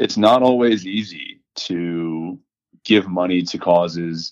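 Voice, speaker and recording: A man with an American accent speaks at a very deep, low pitch and with fairly even intonation. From Houston, Texas. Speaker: biotech operations director. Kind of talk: interview.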